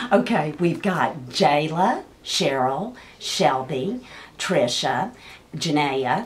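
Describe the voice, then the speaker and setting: Amid noticeable background noise and audible room echo, a woman with a Texas accent speaks at a very slow pace in a very deep, low voice, her pitch swinging very widely. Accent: Texas Southern twang. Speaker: high school counselor. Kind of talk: casual interview.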